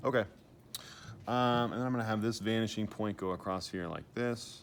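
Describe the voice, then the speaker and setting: This man has a plain, everyday voice at a medium pitch. He moves fairly quickly, with fairly even intonation. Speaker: art teacher. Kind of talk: tutorial.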